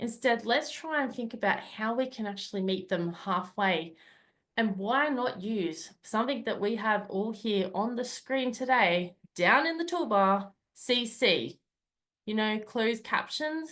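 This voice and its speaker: A woman with an Australian accent speaks at a fairly slow pace, her fairly high voice carried by lively intonation. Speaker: club speaker. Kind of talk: prepared speech. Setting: video call.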